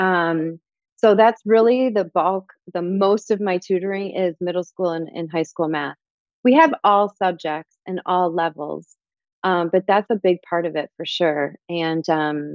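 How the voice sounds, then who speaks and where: This is a normal speaking voice, a woman with an American accent at a medium pitch. She speaks at a fairly slow pace with ordinary pitch variation. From Michigan. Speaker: language teacher and tutoring business owner. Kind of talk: interview.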